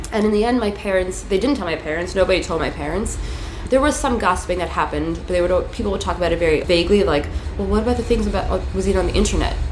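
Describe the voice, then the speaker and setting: Someone with an American accent talks at a very fast pace over noticeable background noise, with audible room echo. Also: woman. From New York City, Queens. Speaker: activist and sex educator. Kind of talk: casual interview. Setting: recording room with parade passing outside.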